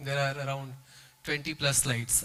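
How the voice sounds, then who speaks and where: Fairly quick and fairly high in pitch, a man's bright, sharp voice carries audible room echo. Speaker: management trainer. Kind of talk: keynote lecture.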